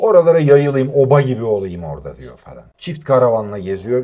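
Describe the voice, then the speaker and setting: With an unremarkable speaking voice at medium pitch, a man talks at a moderate pace with lively intonation. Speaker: voice actor. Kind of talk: interview answer.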